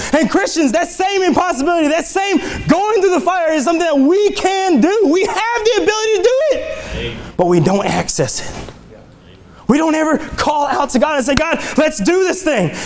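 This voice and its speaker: Amid noticeable background noise and audible room echo, a man with an extremely high pitch talks at a moderate pace in an animated tone with lively intonation. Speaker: lay preacher. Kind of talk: sermon.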